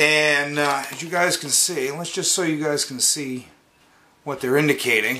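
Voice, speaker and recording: Light background noise runs under a man's voice. He speaks at a moderate pace with ordinary pitch variation. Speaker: product reviewer. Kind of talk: casual unboxing review. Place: home room. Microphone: phone near.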